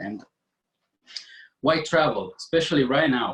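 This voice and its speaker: A man's delivery shows ordinary pitch variation and keeps to a moderate pace. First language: French. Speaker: network marketing presenter. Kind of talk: business presentation. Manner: halting, repeats words.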